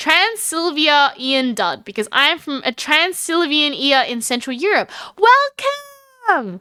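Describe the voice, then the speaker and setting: Raising and projecting her voice, a woman speaks at a very slow pace and high pitch in a bright, sharp tone with very wide pitch swings. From Australia. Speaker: streamer. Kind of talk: casual chat. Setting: live stream. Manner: animated.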